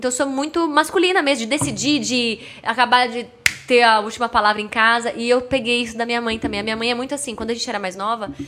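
There is noticeable background noise as a woman speaks very fast in an animated tone at a high pitch. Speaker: TV presenter of product ads. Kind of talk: casual chat. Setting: studio.

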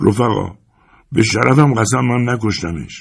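A man performs a put-on character voice. It sits at medium pitch with ordinary pitch variation. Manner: terrified, pleading.

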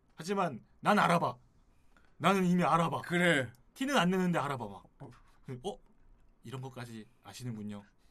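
A man with a fairly high pitch for a man and a bright, sharp tone swings his pitch very widely, leaving long, frequent pauses. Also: moderate pace. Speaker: guest reviewer. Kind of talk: casual chat.

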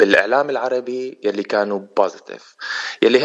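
This is a man with a normal speaking voice at a medium pitch. He talks at a fairly slow pace with fairly even intonation. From Syria, Yarmouk camp in Damascus. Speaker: ballet dancer and choreographer. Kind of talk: radio interview.

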